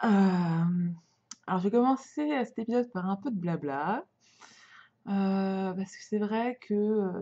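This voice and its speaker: At a very slow pace, the voice sounds somewhat breathy with a dark, mellow tone and ordinary pitch variation. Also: woman. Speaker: podcaster on sewing and knitting. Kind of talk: casual podcast talk. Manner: hesitant, many fillers.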